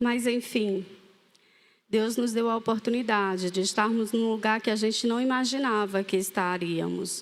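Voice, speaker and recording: A woman speaks at a moderate pace. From Fortaleza, Ceará, northeastern Brazil. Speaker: ministry leader sharing testimony. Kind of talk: testimony. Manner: animated storytelling.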